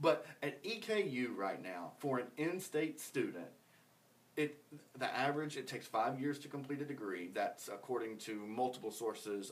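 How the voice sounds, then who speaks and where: A man speaks at a moderate pace with a medium pitch and an American accent. His voice is a normal speaking voice, with lively intonation. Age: 30s. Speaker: podcast host. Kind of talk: casual chat.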